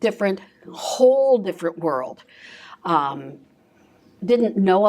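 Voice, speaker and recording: A woman with a Midwestern American accent at a moderate pace. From US Midwest, Ohio (Bath, near Akron). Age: 60s. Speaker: trauma-informed care presenter, former school counselor. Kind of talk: presentation to a live audience. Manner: conversational, with fillers.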